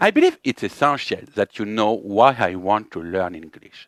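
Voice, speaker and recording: A man speaks with a French accent. The recording is very clean, with a silent background. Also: dry, close sound with no echo. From France. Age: 30s. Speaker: YouTuber learning English. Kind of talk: personal monologue to camera.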